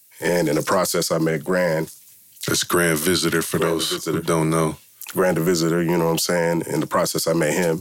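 Noticeable background noise runs under this recording. A man with a very deep, low pitch talks at a fairly quick pace in a monotone, flat intonation. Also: very even loudness. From US West Coast, Milpitas in the South Bay. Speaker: hip-hop producer. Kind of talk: casual interview.

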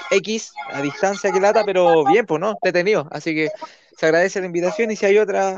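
Speaking in a Chilean accent, a man keeps a fairly quick pace. His pitch is high, with ordinary variation. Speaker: professional radio announcer. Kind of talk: casual chat.

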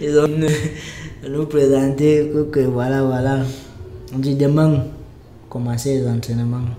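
A man at a fairly high pitch, very slow and monotone with flat intonation, long and frequent pauses, audible room echo and noticeable background noise. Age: 20s. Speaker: merchant sailor. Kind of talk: casual chat.

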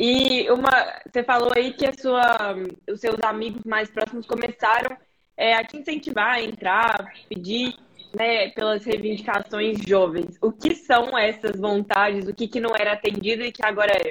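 A woman with a normal speaking voice, a fairly high pitch, fairly even intonation, and a moderate pace. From Brazil, Belo Horizonte. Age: 20s. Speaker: podcast host and student. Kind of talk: interview. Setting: live stream.

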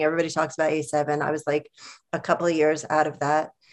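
This is an unremarkable speaking voice with an American accent. The pace is fairly quick. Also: woman. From New York. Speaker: librarian and collective organizer. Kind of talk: casual chat.

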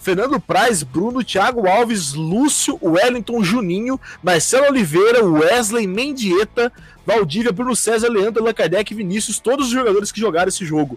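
A man's high-pitched, animated voice at a moderate pace, with lively intonation and noticeable background noise. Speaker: fan podcast host. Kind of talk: casual chat.

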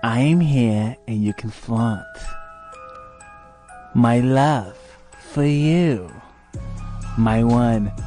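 A put-on character voice with a low pitch moves at a very slow pace with long, frequent pauses. Music plays clearly in the background. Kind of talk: comic horror spoof. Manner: menacing, taunting.

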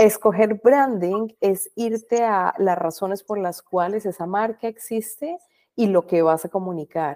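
Pacing is fairly slow. The tone comes across dark and mellow. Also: woman, medium pitch for a woman, ordinary pitch variation, dry, close sound with no echo. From Colombia. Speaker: branding professional and podcaster. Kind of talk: interview.

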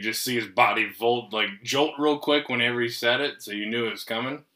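A man's medium-pitched voice, bright and sharp in tone, with fairly even intonation. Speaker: podcast host. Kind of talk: casual banter over beers. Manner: joking, profane.

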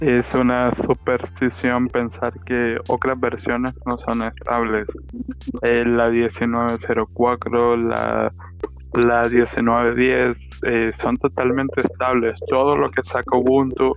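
Speaking very slowly with ordinary pitch variation, the voice comes through noticeable background noise. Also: man. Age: 20s. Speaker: systems administrator. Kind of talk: casual interview. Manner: hesitant with fillers.

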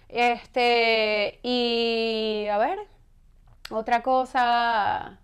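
Very slowly and with fairly even intonation, a woman speaks at a fairly high pitch. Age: 40s. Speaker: fitness professional. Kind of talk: interview.

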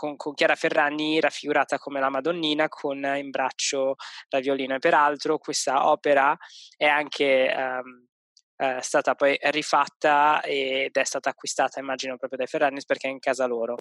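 The man's pitch is fairly high and his intonation monotone and flat. He holds a moderate pace. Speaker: podcast co-host. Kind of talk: casual chat. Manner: hesitant, many fillers.

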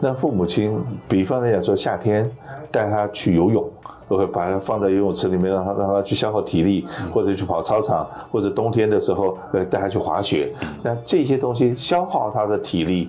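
This man has a fairly low pitch, ordinary pitch variation and very even loudness at a fairly quick pace. Noticeable background noise and audible room echo run through the clip. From Taiwan. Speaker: radio host and insurance broker. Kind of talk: interview.

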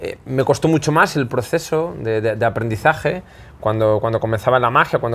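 The recording is very clean, with a silent background. A man with a plain, everyday voice speaks at a moderate pace and ordinary pitch variation. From Spain, Zamora. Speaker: magician. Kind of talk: casual interview before live audience. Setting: magic shop with live audience.

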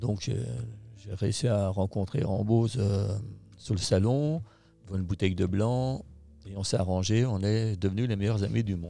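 Music plays behind a man who speaks at a moderate pace in a fairly low voice, leaving long, frequent pauses. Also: ordinary pitch variation. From France, Haute-Savoie. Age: 60s. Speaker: company founder and boss. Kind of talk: interview. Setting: company headquarters. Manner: hesitant, many fillers.

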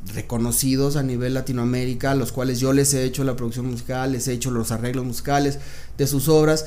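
Over audible room echo, a man with a medium pitch rattles along at a very fast pace in monotone, flat intonation. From Mexico City. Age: 30s. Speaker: music producer and entrepreneur. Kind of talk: interview. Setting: recording studio.

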